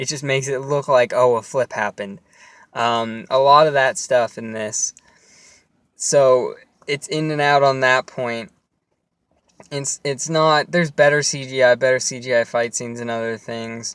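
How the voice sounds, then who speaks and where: With long, frequent pauses, a man of medium pitch speaks at a moderate pace and fairly even intonation, the sound dry and close with no echo. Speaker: movie reviewer. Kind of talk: casual solo movie review. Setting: in a car. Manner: halting, many fillers and restarts.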